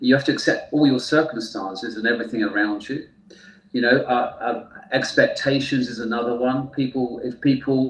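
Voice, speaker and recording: In a British accent, a man speaks at a moderate pace and medium pitch with fairly even intonation, with noticeable background noise behind him. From UK. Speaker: therapist. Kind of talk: interview. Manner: hesitant fillers.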